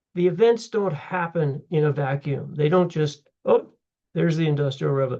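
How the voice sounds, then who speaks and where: The pace is moderate. Pitch variation is ordinary. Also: man. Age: 70s. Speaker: history instructor. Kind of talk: lecture; casual self-introduction. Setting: recorded on computer for online class. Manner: casual, halting.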